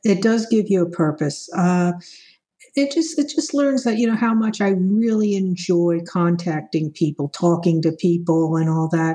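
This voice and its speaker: Somewhat breathy and at a medium pitch, a woman speaks with lively intonation and very even loudness. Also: moderate pace. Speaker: vaccine appointment volunteer. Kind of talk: interview.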